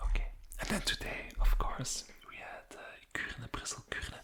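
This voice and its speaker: Someone whispers in a relaxed tone. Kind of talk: whispered ASMR sports commentary. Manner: whispered; relaxed, hesitant with fillers.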